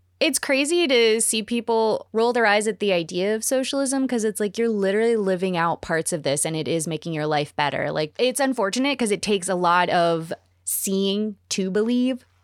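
A woman speaks in an unremarkable speaking voice at medium pitch, her intonation lively and her pace fairly quick with hardly any pauses. The recording is very clean, with a silent background. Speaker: podcast co-host. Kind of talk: casual interview.

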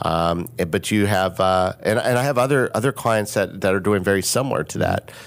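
Speaking fairly quickly with hardly any pauses, a man has an unremarkable speaking voice, fairly low in pitch, with very even loudness and ordinary pitch variation. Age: 50s. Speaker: business consultant and social media influencer. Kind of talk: casual chat.

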